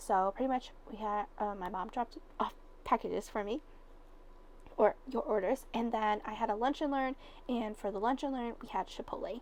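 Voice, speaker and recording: A woman does a put-on character voice that is hoarse and fairly high in pitch, at a moderate pace. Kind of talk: casual conversation.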